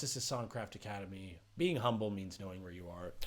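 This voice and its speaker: Lively intonation marks this man's animated tone. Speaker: songwriter and rapper teaching music making. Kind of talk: casual vlog talk to camera.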